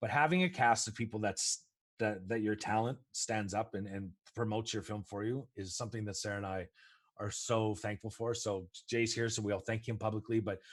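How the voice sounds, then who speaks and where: A man with an unremarkable speaking voice talks at a fairly quick pace in a fairly low pitch, with ordinary pitch variation and a quiet background. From Canada. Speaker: film producer. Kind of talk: interview.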